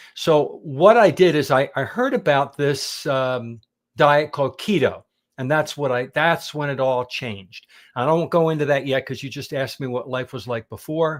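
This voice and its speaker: A man with a plain, everyday voice and an American accent speaks at a moderate pace with a fairly high pitch and ordinary pitch variation, in a very clean recording with a silent background. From Pennsylvania, US. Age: 60s. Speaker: carnivore diet teacher. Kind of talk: interview, personal story.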